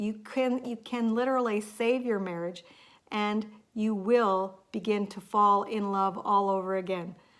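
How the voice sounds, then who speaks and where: In an ordinary speaking voice, a woman with a fairly high pitch speaks at a fairly slow pace on a very clean recording with a silent background. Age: 50s. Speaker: lifestyle vlogger. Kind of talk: casual vlog talk to camera.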